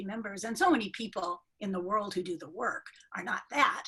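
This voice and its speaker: This woman has a plain, everyday voice. Her pitch is fairly high. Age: 60s. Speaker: journal editor and retired professor of health education. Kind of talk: interview.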